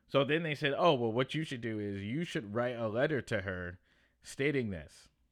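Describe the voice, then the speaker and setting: A man talks in an unremarkable speaking voice, keeping a moderate pace and ordinary pitch variation. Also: very clean recording, silent background. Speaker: podcast host and comedian. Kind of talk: casual monologue.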